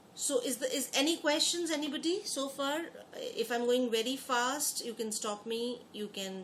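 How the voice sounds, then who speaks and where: A woman's high-pitched voice with lively intonation, amid noticeable background noise and audible room echo. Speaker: exam prep teacher. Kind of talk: online lecture. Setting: online class. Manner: fast.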